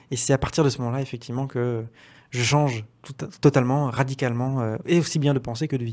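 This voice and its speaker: A man with a medium pitch talks at a very fast pace with fairly even intonation. The background is quiet. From Brittany, France. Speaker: interview guest. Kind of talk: interview testimony. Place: studio. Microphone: studio mic.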